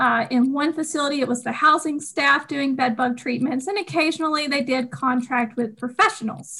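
With a Southern US accent, a woman uses a raised, projected voice with a bright, sharp tone and a high pitch. Her pitch variation is ordinary, and she leaves hardly any pauses. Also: moderate pace. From US South, Georgia. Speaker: podcast co-host.

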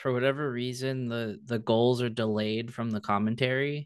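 In an unremarkable speaking voice, the man talks at a medium pitch and a moderate pace. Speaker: podcast host. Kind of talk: casual sports podcast chat.

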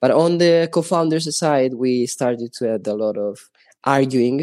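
A man in an Italian accent talks at a moderate pace with a medium pitch, a dark, mellow tone and ordinary pitch variation. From Italy. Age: 20s. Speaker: NFT project developer. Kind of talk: interview. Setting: remote call.

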